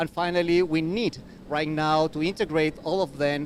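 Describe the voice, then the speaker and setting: Speaking at a fairly high pitch, a man talks with a Spanish accent. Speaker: university researcher. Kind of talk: panel presentation. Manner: halting, many repeated words.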